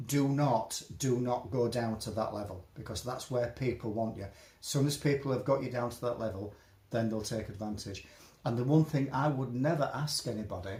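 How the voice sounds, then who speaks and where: A man with a Yorkshire accent talks at a moderate pace in a somewhat breathy, medium-pitched voice with ordinary pitch variation. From Yorkshire, northern England. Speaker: interviewee on discrimination. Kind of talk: casual interview. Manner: halting, repetitive.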